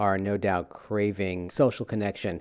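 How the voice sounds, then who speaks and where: Against a very clean recording with a silent background, a man with a normal speaking voice speaks at a fairly slow pace and fairly low pitch. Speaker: radio host. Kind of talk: interview.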